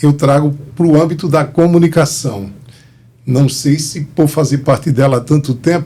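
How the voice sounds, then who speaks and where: With fairly even intonation and a fairly slow pace, a man speaks in an unremarkable speaking voice, fairly high in pitch. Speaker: historian and cultural organizer. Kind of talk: interview.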